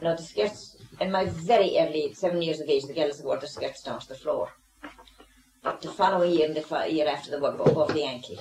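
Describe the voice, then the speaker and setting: Here a woman is talking with big swings in loudness. There is noticeable background noise. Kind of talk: interview answer.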